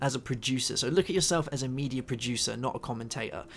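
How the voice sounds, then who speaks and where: Talking at a very fast pace with lively intonation, a man with fairly high pitch speaks in a southern English accent. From southwest England. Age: 20s. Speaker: gaming YouTuber. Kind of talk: Q&A video commentary. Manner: occasional stutter and filler sounds; fast when engaged.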